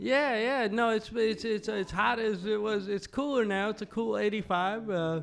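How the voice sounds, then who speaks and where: Speaking with an American accent and a high pitch, a man keeps a moderate pace with hardly any pauses. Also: ordinary pitch variation. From eastern Washington, US. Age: 40s. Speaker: stand-up comedian. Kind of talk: casual interview chat. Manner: halting, many fillers and restarts.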